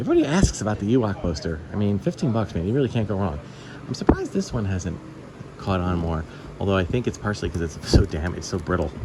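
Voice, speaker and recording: A man at a fairly low pitch with ordinary pitch variation, at a very fast pace, amid noticeable background noise. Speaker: toy collector video host. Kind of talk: casual vlog.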